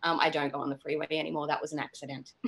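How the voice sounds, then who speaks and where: A woman is speaking. She has an Australian accent. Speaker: actress. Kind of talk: casual chat.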